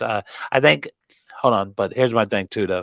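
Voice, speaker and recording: A man talks at a fairly quick pace with a fairly low pitch and ordinary pitch variation. The recording is very clean and the background silent, with a dry, close sound and no echo. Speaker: boxing podcast co-host. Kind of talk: casual chat. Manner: stumbling over words at times.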